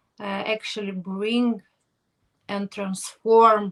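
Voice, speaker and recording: This woman's tone is bright and sharp. She speaks very slowly. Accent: Ukrainian. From Ukraine, Kherson. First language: Ukrainian or Russian. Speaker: podcast host. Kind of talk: interview. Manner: halting.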